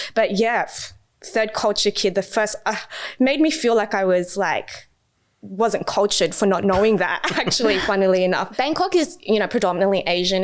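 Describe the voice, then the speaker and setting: A woman's medium-pitched voice in an Australian accent, at a moderate pace with ordinary pitch variation. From Australia, South West Sydney. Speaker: teacher living abroad. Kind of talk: casual podcast interview.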